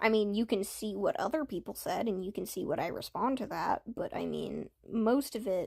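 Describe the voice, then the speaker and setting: On a very clean recording with a silent background, a woman with a medium pitch and vocal fry speaks at a moderate pace with hardly any pauses and ordinary pitch variation. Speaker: ASMR streamer. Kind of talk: live stream Q&A chat. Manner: soft-spoken; halting, stutters at times.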